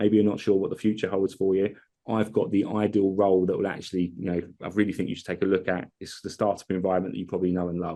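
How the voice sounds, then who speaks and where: At a very fast pace, a man speaks in a fairly low pitch with a dark, mellow tone. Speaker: tech company CEO and co-founder. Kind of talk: product demo in podcast interview.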